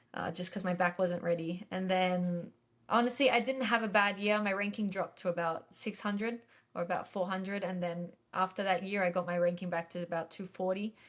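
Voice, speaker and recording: A woman with an Australian accent at a fairly quick pace. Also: medium pitch for a woman, fairly even intonation. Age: 20s. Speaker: professional tennis player. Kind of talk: interview. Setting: podcast.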